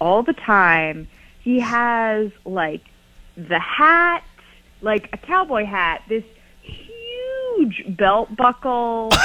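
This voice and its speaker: Speaking at a very slow pace, a woman with an American accent has a bright, sharp tone and very wide pitch swings. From Montana, US. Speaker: radio show caller. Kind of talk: casual chat.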